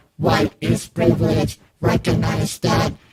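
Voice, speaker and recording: A man performs a put-on character voice. It sounds raspy and moves at a fairly slow pace. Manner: monotone, scripted.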